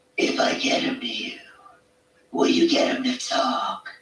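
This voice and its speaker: In a put-on character voice, the speaker sounds high, gruff and raspy at a moderate pace. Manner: serious, tough.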